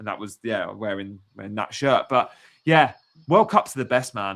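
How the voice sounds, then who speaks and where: A man speaks with an English accent and lively intonation. The recording is very clean, with a silent background. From England. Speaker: football pundit. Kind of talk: casual chat.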